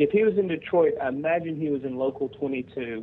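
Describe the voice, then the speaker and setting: Here is a man with a Tennessee accent. His pitch variation is ordinary. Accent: Southern US (Tennessee). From Tennessee, Nashville. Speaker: union veterans advocate, Marine veteran. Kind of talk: radio interview.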